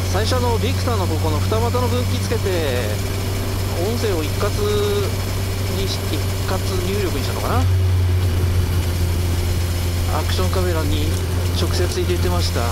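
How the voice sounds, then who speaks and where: Loud background noise surrounds a dry recording with no echo. The speaker keeps a moderate pace, broken by long, frequent pauses. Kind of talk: casual vlog chat. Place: motorbike. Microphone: helmet.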